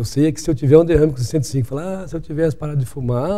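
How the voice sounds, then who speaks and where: Very fast speech from a man pitched fairly high, with ordinary pitch variation. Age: 60s. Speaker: doctor. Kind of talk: interview.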